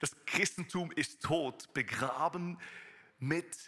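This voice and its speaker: Bright, sharp tone from a man, with ordinary pitch variation. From Switzerland. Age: 30s. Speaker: preacher. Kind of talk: sermon. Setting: church service with live audience.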